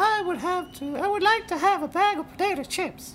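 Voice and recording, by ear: Moving at a moderate pace, the put-on character voice is squeaky and pitched extremely high.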